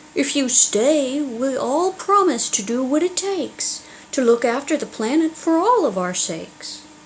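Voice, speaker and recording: A woman's put-on character voice, high-pitched and at a moderate pace, over clear background noise. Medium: read story. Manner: wailing.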